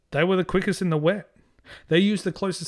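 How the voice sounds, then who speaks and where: A man speaks at a high pitch in an animated tone, with ordinary pitch variation. The recording is very clean, with a silent background. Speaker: podcast host, Formula One commentator. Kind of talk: comedic rambling banter. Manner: animated, jokey, over-the-top; fast rambling, self-mocking.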